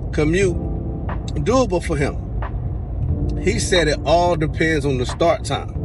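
Clear music plays in the background as a man speaks at a fairly slow pace. The sound is dry, with no echo. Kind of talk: casual vlog rant. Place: car. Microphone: phone near.

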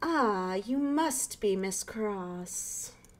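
A put-on character voice, female-sounding, at a medium pitch for a woman. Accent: British. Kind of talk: posh, refined.

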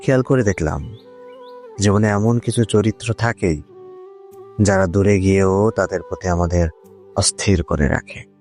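Music plays in the background as a man speaks at a fairly low pitch with ordinary pitch variation. The sound is dry and close, with no echo. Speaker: voiceover artist / channel owner. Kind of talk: emotional poetry / spoken word monologue. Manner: reflective, emotional, measured.

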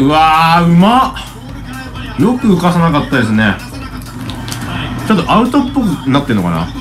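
With clear music in the background, a man with a high pitch speaks with long, frequent pauses. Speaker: football tactics commentator. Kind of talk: live-stream match commentary. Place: home room.

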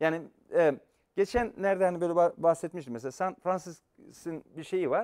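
Against a quiet background, a man talks at a high pitch. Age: 50s. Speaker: professor. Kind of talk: lecture. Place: studio. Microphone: lapel.

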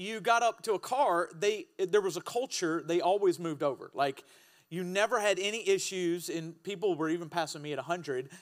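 The background is quiet while a man talks. His pace is moderate. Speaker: pastor. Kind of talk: sermon. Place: church. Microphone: handheld.

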